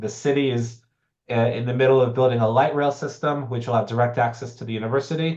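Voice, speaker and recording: Here is an unremarkable speaking voice from a man with an American accent. His pitch is medium, with ordinary pitch variation. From United States. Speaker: professor. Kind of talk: online information session. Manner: conversational with fillers.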